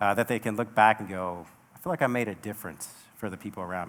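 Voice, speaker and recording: Speaking very fast, a man with an American accent uses a fairly low voice. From US Pacific Northwest, Seattle. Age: 40s. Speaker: military officer, keynote speaker. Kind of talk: keynote speech. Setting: stage with audience.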